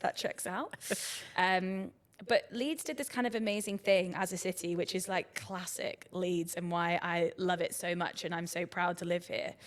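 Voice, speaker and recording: A woman's medium-pitched voice in a Brighton accent. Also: ordinary pitch variation, moderate pace. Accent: southern English, Brighton. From southern England, Brighton. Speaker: arts director. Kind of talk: podcast interview. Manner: casual, many fillers (um, like).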